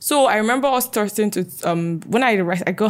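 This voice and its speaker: A woman's voice with ordinary pitch variation on a very clean recording with a silent background. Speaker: fashion entrepreneur and podcaster. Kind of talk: casual interview, telling life story. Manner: articulate, well-spoken.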